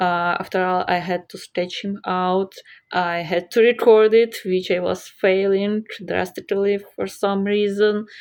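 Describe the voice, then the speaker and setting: With a non-native accent, a woman speaks at medium pitch in a monotone, flat intonation. Her pace is fairly slow, and the background is quiet. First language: not English. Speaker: art YouTuber. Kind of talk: casual vlog commentary over drawing. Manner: halting, with many fillers.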